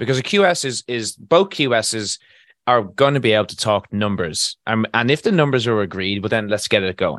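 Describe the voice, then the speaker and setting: With an Irish accent, a man speaks at a moderate pace and a medium pitch, his intonation lively. The sound is dry and close with no echo, and the background is quiet. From Ireland, Galway. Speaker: construction contracts consultant. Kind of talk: casual interview.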